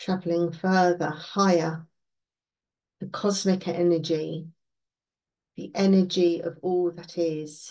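A woman's fairly low, dark, mellow voice, gentle and soothing in tone, monotone and flat, with big swings in loudness, a very slow pace and long, frequent pauses, over a quiet background. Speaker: meditation guide. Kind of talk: guided meditation. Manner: slow, soothing, calm; gentle, unhurried, with long pauses. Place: home room. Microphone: webcam.

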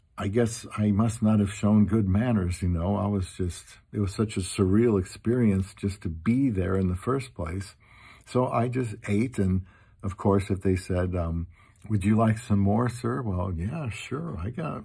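A man with a dark, mellow, somewhat breathy tone speaks at a fairly low pitch and a fairly slow pace, with ordinary pitch variation against a quiet background. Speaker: vlogger. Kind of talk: casual vlog chat. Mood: humorous, self-deprecating. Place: home room. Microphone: phone near.

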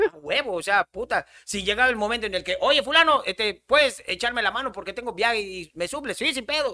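Raised and projected, a man's extremely high, bright, sharp voice comes out animated with lively intonation and hardly any pauses. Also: fairly quick pace, quiet background. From Yucatán, Mexico. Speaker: comedian; podcast guest. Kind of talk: casual chat. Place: studio. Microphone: studio mic.

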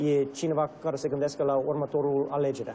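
A man with an English accent talks at a fairly quick pace and a fairly high pitch. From Romania (Bucharest), American family. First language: English (speaking Romanian). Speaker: state senator. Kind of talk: interview. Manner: halting.

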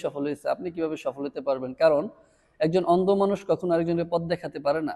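Fairly even intonation marks a plain, everyday voice. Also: man. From Bangladesh, Comilla (Burichang). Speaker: network marketing leader. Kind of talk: motivational talk.

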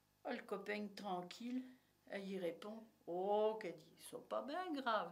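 A woman talks at a very slow pace with ordinary pitch variation. Her loudness swings widely. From Burgundy, France. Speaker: storyteller. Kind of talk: storytelling. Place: office.

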